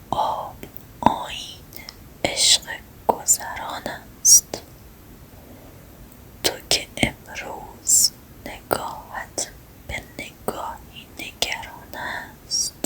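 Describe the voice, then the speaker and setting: Whispering comes at a very slow pace with long, frequent pauses. Noticeable background noise is present. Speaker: ASMR creator. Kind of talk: whispered poetry reading. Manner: whispered, soft.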